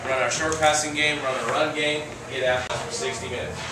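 A man at a fairly quick pace, with audible room echo and noticeable background noise. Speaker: college football head coach. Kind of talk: locker room pep talk to team.

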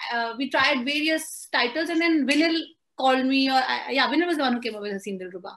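The pace is very fast with ordinary pitch variation. The background is quiet. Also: woman, high pitch for a woman. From India, Amritsar (Punjab); Punjab, India. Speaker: screenwriter. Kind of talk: interview. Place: home room. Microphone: video call.

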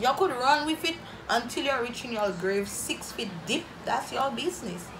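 The tone is animated, with noticeable background noise behind it. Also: woman. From St Lucia. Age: 20s. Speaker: YouTuber. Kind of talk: casual Q&A vlog. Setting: home video recording. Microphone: phone near.

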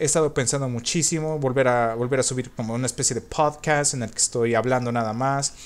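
Fairly quick pace and ordinary pitch variation. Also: man. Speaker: gaming youtuber. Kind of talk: gameplay commentary. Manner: halting, repetitive. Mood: relaxed, reflective. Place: home room.

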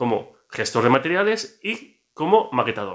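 A man speaks at a moderate pace with lively intonation. The background is quiet. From Barcelona, Spain; Spain. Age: 40s. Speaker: comics YouTuber and author; comics content creator. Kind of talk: casual vlog monologue. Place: home room. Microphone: phone near.

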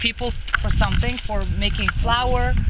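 Loud background noise fills the recording. Through it, a woman speaks at a moderate pace. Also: dry sound with no echo. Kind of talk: casual family video narration. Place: open country. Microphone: camera far.

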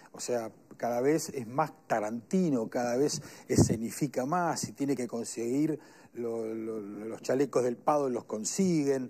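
Dark and mellow in tone, a man talks at a fairly slow pace with ordinary pitch variation and big swings in loudness. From Uruguay. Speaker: lawyer and police union adviser; lawyer. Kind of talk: panel discussion. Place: studio. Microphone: lapel.

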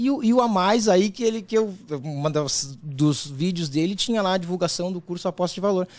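A high-pitched man with lively intonation. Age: 40s. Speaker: sports bettor; podcast guest. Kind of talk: podcast interview. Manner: halting, with many repeated words. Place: studio. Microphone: studio mic.

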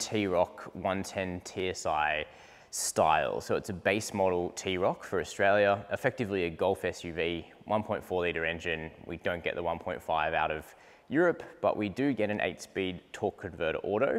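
A man's very deep, low voice with ordinary pitch variation at a moderate pace. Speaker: presenter. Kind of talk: casual presenter walkthrough. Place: garage. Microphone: lapel.

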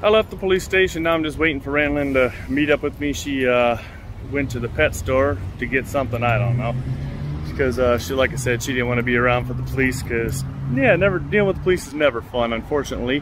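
Very fast talk from a man, dry with no echo, over noticeable background noise. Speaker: motorcycle vlogger. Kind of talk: casual vlog chat. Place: street. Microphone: phone near.

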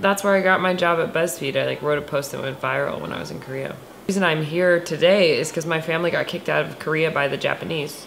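A woman talking at a very fast pace with fairly even intonation, over light background noise. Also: fairly low pitch for a woman. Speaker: co-host watching a movie. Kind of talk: casual reaction commentary. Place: home room.

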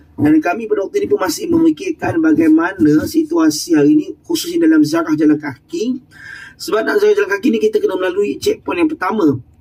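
Over noticeable background noise, a man speaks at a very fast pace in a high pitch. His pitch swings very widely. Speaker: Hajj/Umrah group guide. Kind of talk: vlog field report. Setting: outdoors.

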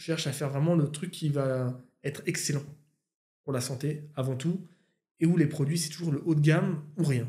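A somewhat breathy man's voice, dark and mellow in tone, fairly high in pitch, over a quiet background. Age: 30s. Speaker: YouTuber and musician; YouTuber. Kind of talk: casual chat. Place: home room. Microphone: studio mic.

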